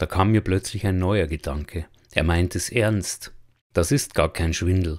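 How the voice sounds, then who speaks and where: Very deep, low male voice at a fairly slow pace, on a very clean recording with a silent background. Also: ordinary pitch variation. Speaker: audiobook narrator. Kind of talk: literary audiobook reading, first-person narration.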